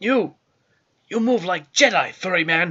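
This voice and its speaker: This put-on character voice sounds raspy. Its pitch sits in the middle. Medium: read story. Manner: broken grammar.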